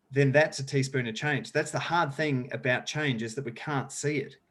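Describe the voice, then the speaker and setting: Speaking at a moderate pace with an Australian accent, a man of medium pitch keeps his intonation fairly even in a very clean recording with a silent background. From rural South Australia. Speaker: sustainability educator and speaker. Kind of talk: podcast interview.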